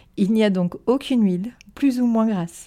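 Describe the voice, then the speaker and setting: Speaking at a fairly slow pace, a woman uses a fairly high pitch and a dark, mellow tone with lively intonation. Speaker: dietitian podcast host. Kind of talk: scripted narration. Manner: smiling.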